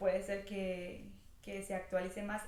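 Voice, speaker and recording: Noticeable background noise and audible room echo fill the clip. Over them, a woman talks at a medium pitch and a fairly slow pace. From Venezuela, Táchira, near Colombian border. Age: 20s. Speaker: vlogger. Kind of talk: casual vlog monologue.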